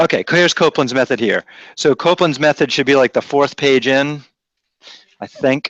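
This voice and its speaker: A man with an American accent speaks with fairly even intonation and very even loudness. There are long, frequent pauses, in a dry, close sound with no echo and a quiet background. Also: fairly high pitch for a man, fairly quick pace. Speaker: math teacher. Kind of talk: classroom lecture. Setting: classroom with students.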